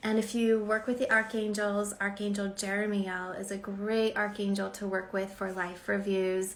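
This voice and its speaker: Fairly even intonation is heard with audible room echo. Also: woman. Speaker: spiritual channeler and author. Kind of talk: live stream intuitive reading. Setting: live stream. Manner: quiet and slow normally.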